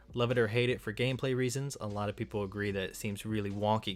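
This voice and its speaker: With music in the background, a man speaks very fast at a fairly low pitch. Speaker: video game and sword YouTuber. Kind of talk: scripted video commentary.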